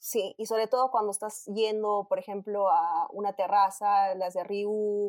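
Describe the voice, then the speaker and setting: A woman with a Peruvian accent talks at a medium pitch. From Peru, Arequipa. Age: 20s. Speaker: industrial engineer. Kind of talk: casual chat.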